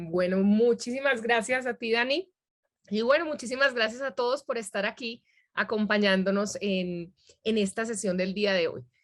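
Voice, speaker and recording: On a very clean recording with a silent background, a woman speaks in a fairly high pitch at a moderate pace with ordinary pitch variation. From Medellín, Colombia. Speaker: academic integrity trainer, workshop presenter. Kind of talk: workshop presentation.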